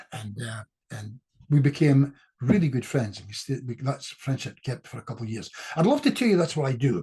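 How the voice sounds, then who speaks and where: Speaking fairly quickly in a Scottish accent, a man has a dark, mellow tone that is somewhat breathy. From Scotland. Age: 70s. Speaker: clinical hypnotist. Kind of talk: casual chat. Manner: fast.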